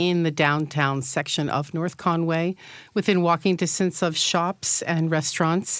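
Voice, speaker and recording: With a silent background on a very clean recording, an unremarkable speaking voice proceeds at a moderate speed, its pitch varying in an ordinary way. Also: woman. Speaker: tourism representative, North Conway. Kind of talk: radio interview. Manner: cheerful, friendly.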